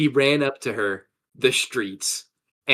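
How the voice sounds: A natural reading voice is heard, with only quiet in the background.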